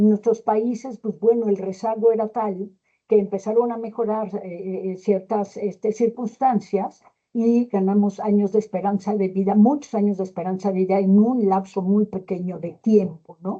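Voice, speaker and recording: In a Mexican accent, a woman speaks at a moderate pace with a dark, mellow tone, a medium pitch and monotone, flat intonation. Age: 60s. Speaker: gerontology expert speaker. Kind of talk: lecture. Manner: hesitant, many fillers.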